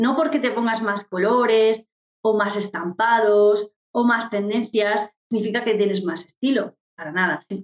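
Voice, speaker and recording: In a normal speaking voice, a woman talks at a fairly slow pace, her pitch fairly high with ordinary variation. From Murcia, Spain. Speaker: image consultant. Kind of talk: interview.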